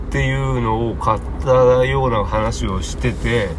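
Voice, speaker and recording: With noticeable noise behind him and audible echo in the room, a man talks very slowly. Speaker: podcast host. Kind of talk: solo casual talk. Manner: casual, rambling with fillers.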